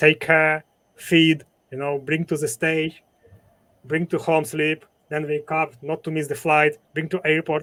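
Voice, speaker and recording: Monotone and flat in intonation, this speaker talks at a fairly slow pace with a Ukrainian accent. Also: man, fairly high pitch for a man. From Ukraine. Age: 40s. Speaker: entrepreneur, former event promoter. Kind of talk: interview conversation. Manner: halting.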